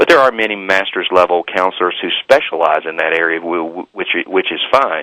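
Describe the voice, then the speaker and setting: With a Southern US accent, a man speaks at a fairly quick pace, his very deep, low pitch paired with a bright, sharp tone. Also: dry, close sound with no echo. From US South. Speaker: author and former pastor, marriage counselor. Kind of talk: radio interview. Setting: talk radio show. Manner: halting, many repetitions.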